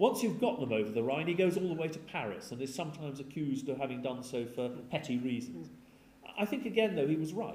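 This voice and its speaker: Speaking at a very fast pace, a man uses very wide pitch swings. His pitch is fairly high, and audible room echo surrounds him. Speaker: history professor. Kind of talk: lecture; Q&A answers. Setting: lecture theatre with audience. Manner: seated while speaking.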